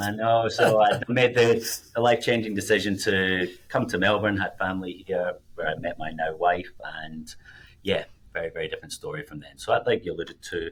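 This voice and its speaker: The speaker is a man with a Scottish accent. He talks at a fairly quick pace with big swings in loudness. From Scotland. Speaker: financial planner, podcast co-host. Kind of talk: casual podcast chat.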